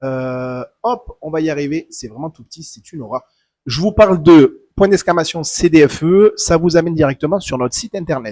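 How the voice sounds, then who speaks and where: Speaking at a moderate pace in a southern French accent, a man has a fairly high pitch, a dark, mellow tone, ordinary pitch variation and big swings in loudness, in a dry, close sound with no echo. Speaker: tournament organizer. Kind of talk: livestream announcement. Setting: live stream. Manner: hesitant, many fillers.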